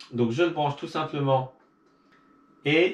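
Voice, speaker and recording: A man's voice, fairly high in pitch. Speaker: video creator. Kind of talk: tutorial.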